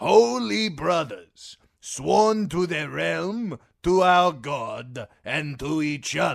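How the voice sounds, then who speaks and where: Using a put-on character voice, a man speaks very slowly at a fairly high pitch with lively intonation. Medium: read story. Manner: fervent, declaiming.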